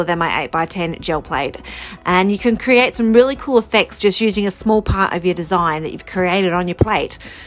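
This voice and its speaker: Music plays behind a woman speaking at a fairly quick pace in an Australian accent. Her pitch is medium, with ordinary pitch variation. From Australia, rural New South Wales. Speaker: mixed media artist. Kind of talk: tutorial. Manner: casual, upbeat.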